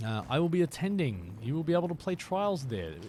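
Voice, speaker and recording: Moderately paced, a man with an Australian accent speaks with very wide pitch swings. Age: 30s. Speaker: gaming streamer. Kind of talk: live gameplay stream chat. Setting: live stream. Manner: casual, filler-heavy.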